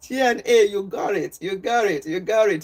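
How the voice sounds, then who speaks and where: A woman speaks with lively intonation in a strong Nigerian accent. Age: old. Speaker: health and wellness livestreamer. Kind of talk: casual livestream chat. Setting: live stream. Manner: deliberately slow.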